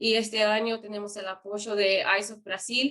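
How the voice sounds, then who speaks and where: A woman speaks with a Portuguese accent in a monotone, flat delivery at a fairly slow pace. Her medium-pitched voice has a bright, sharp tone. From Brazil. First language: Portuguese (speaking Spanish). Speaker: youth forum organizer. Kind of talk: webinar presentation. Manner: halting.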